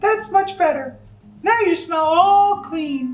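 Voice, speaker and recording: A squeaky, female-sounding put-on character voice at an extremely high pitch and a fairly slow pace. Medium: read story. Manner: firm, insistent.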